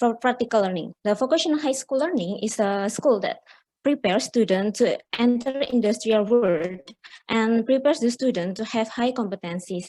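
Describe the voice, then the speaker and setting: Her fairly high-pitched voice carries a dark, mellow tone and lively intonation. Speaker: conference presenter. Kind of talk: academic presentation. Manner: halting.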